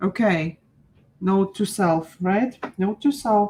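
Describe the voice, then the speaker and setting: In a very clean recording with a silent background, a woman with a dark, mellow, somewhat breathy tone speaks at a very slow pace, using a medium pitch with ordinary pitch variation. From Ukraine. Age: 40s. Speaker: art teacher. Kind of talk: live-stream painting class. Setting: live stream. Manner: animated.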